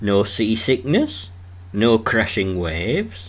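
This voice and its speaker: A man with a strong Yorkshire accent talks at a very slow pace with vocal fry. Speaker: travel vlogger. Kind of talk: documentary travel narration.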